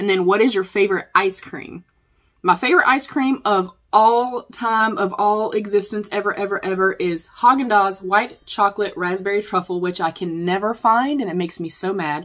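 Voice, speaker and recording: In a very clean recording with a silent background, a woman speaks at a moderate pace. Her medium-pitched voice shows ordinary pitch variation. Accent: Southern US. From North Carolina. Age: 40s. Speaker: beauty vlogger. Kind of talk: Q&A vlog, casual chat. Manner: chatty.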